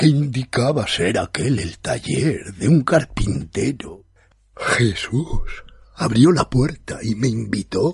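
Here someone is doing plain reading aloud.

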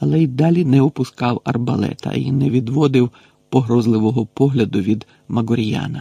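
The reading is plain and aloud, with pitch that shifts in an ordinary way.

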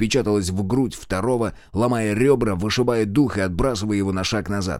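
Ordinary pitch variation in a natural reading voice.

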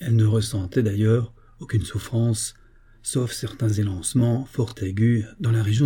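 With fairly even intonation, someone is reading aloud in a natural voice.

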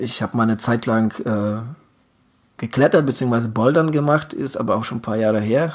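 The pace is moderate. A man's pitch moves normally as he talks. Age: 40s. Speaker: endurance sports podcast co-host, triathlete. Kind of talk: casual chat. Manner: halting, many filler sounds.

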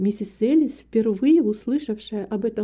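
The voice heard here is an unforced reading voice.

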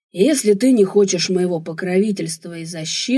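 A natural voice, reading aloud

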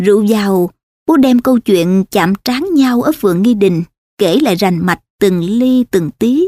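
With a quiet background, the text is read aloud in a natural voice.

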